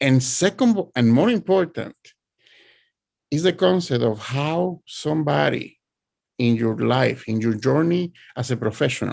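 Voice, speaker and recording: Speaking with a strong Spanish accent, a man uses a medium pitch and lively intonation at a fairly slow pace with long, frequent pauses. The recording is very clean, with a silent background. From Puerto Rico. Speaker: author and art educator. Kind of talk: presentation. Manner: halting.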